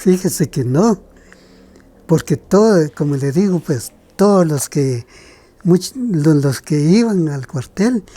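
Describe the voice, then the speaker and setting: Very slowly and with long, frequent pauses, a man speaks at a high pitch in a dark, mellow tone with lively intonation. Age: 70s. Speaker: kite maker. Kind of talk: interview.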